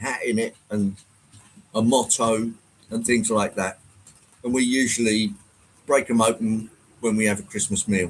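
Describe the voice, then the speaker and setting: A man with an English accent speaks at a medium pitch and a moderate pace. His delivery is monotone and flat, with long, frequent pauses. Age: 60s. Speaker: model train livestreamer. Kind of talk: casual livestream chat. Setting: live stream with chat. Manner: hesitant, filler-heavy.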